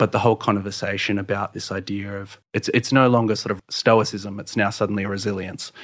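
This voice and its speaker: A man's fairly low-pitched voice in an Australian accent, fairly quick and nearly pause-free, with monotone, flat intonation. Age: 30s. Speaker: poet. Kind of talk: in-depth interview. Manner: halting.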